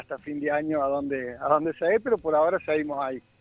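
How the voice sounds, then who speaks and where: Very fast male speech, fairly high in pitch, with ordinary variation. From Argentina, Córdoba. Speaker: amateur football goalkeeper and charity organizer. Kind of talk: phone interview. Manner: halting, repeats words.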